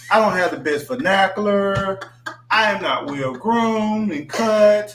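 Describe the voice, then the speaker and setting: A high-voiced man speaking fairly slowly in an animated tone, with noticeable background noise and audible room echo. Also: lively intonation. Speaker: livestream host. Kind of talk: casual chat. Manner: slurs words.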